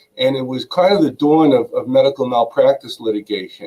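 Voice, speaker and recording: This man speaks with a Brooklyn accent. His pace is moderate and his intonation fairly even. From New York, Brooklyn. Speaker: attorney. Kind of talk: interview.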